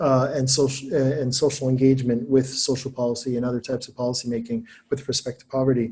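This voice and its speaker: A man's medium-pitched, somewhat breathy voice with a dark, mellow tone, flat monotone intonation, very fast delivery, hardly any pauses and big swings in loudness. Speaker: academic presenting his book. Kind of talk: webinar lecture. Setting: online webinar. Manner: hesitant, many fillers.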